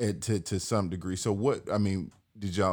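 Over a silent background on a very clean recording, a man speaks with an American accent. His voice is fairly low and his pace moderate. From US South (Atlanta, Georgia). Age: 30s. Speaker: podcast host and gun dog trainer. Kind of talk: interview.

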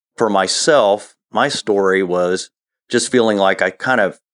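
The voice has a Midwestern US accent and fairly even intonation. The sound is dry and close with no echo, over a quiet background. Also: man. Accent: US Midwest. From Ohio, US Midwest. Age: 50s. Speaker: interview guest sharing personal faith story. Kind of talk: personal testimony in interview.

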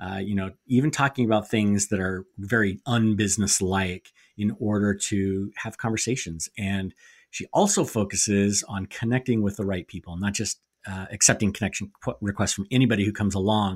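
A man with an ordinary speaking voice talks at a moderate pace in a fairly low pitch with fairly even intonation, recorded very cleanly over a silent background with a dry, close sound and no echo. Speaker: podcast co-host. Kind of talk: podcast interview and ad read.

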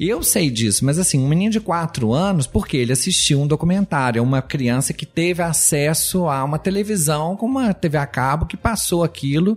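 Fairly quick speech with hardly any pauses, over noticeable background noise. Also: man, fairly high pitch for a man, lively intonation. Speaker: botanist biologist. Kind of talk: casual interview.

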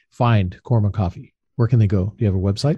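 A man with an American accent, somewhat breathy, over a quiet background. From Los Angeles, San Fernando Valley. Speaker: podcast host, business coach. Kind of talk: podcast interview.

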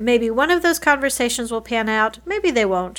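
Lively intonation at a fairly quick pace, a normal speaking voice in a very clean recording with a silent background. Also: woman. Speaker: lawyer and podcast host. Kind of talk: podcast monologue and interview.

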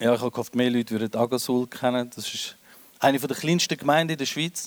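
A man talks at a fairly quick pace with ordinary pitch variation and a plain, everyday voice. The sound is dry and close, with no echo. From Switzerland, Winterthur. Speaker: comedian. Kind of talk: stand-up. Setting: stage with audience.

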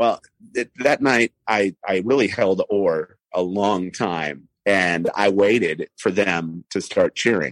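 Recorded dry and close with no echo, a man talks very slowly at a fairly low pitch. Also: ordinary pitch variation. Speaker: radio news anchor and sports broadcaster. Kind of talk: casual interview.

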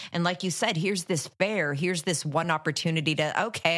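In a Canadian accent, a woman speaks with a bright, sharp tone, a fairly low pitch, and ordinary pitch variation. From Ottawa, Canada. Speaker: horror podcast co-host. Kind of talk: casual film discussion.

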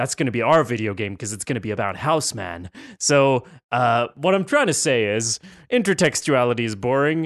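Using an unremarkable speaking voice, a man talks at a medium pitch and a moderate pace with lively intonation. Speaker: podcast co-host. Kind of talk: casual banter podcast chat.

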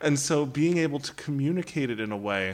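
A man talks at a moderate pace with lively intonation in an ordinary speaking voice. The recording is very clean with a silent background. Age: 30s. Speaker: priest and high school teacher. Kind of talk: radio interview. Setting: studio.

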